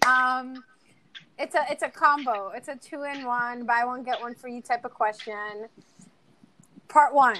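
A woman talks in a high, bright, sharp voice with ordinary pitch variation. Her loudness swings widely, and she leaves long, frequent pauses. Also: fairly slow pace. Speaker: podcast co-host. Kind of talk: casual chat.

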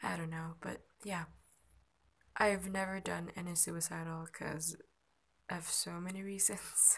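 In a monotone, flat delivery with long, frequent pauses, a woman speaks at a fairly low pitch. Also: fairly slow pace. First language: not English. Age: 20s. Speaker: amateur podcaster. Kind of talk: personal monologue. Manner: halting.

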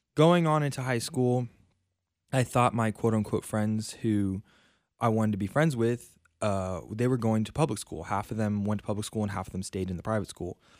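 A normal speaking voice from a man, fairly low in pitch and fairly quick, on a very clean recording with a silent background. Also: ordinary pitch variation. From US South, South Florida. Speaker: Bible college student. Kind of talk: personal testimony. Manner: casual, with fillers.

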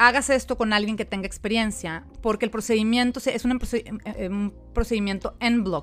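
A woman with a plain, everyday voice speaks at a moderate pace, her pitch fairly high and her intonation fairly even. The recording is very clean with a silent background. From Mexico. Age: 40s. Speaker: podcast host and life coach. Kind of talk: personal testimony monologue.

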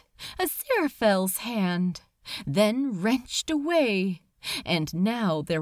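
Lively intonation in plain reading aloud

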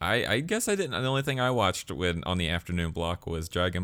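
With a Southern US accent, a man talks in a very deep, low voice, his tone animated and his pitch varying in an ordinary way, on a very clean recording with a silent background. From Alabama. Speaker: podcast host. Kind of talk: casual chat. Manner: joking, animated.

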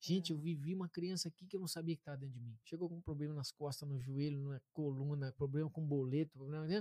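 The sound is dry and close, with no echo. A man speaks at a very fast pace. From interior of Paraná, Brazil. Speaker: therapist. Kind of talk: interview, explanatory talk.

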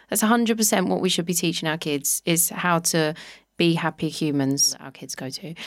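This woman talks fairly quickly in a London accent, her tone animated and her pitch fairly low with ordinary variation. The recording is very clean, with a silent background. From London (Walthamstow). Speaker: Pilates instructor and podcaster. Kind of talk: casual chat. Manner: animated, laughs often.

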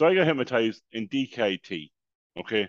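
In an Irish accent, a man talks at medium pitch with lively intonation, his voice dry and close with no echo against a quiet background. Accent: Irish (Louth). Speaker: podcast co-host. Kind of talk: casual chat.

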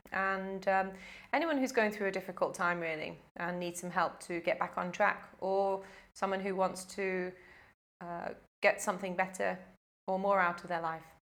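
A woman with a British accent speaks at a moderate pace, her pitch medium and her intonation fairly even. She leaves long, frequent pauses. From UK. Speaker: life coach. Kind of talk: casual interview.

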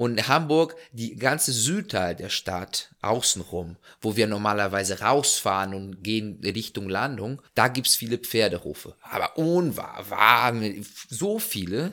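A man with a medium pitch speaks at a fairly slow pace. His tone is bright and sharp, and his intonation is lively. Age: 20s. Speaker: hot air balloon pilot. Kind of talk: casual interview chat.

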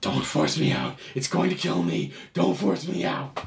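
A man puts on a raspy character voice at a fairly low pitch and a moderate pace. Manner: pleading, desperate.

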